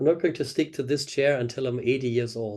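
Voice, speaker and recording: Against a quiet background, a man speaks in a dark, mellow tone. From Germany. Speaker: dentistry professor. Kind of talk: interview. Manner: halting. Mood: relaxed, reflective, smiling. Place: office. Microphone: video call.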